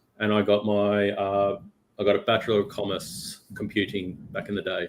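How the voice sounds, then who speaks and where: At a moderate pace, a man with an Australian accent talks in a fairly low pitch with monotone, flat intonation. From Australia, Melbourne. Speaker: cloud technology executive. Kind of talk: casual interview.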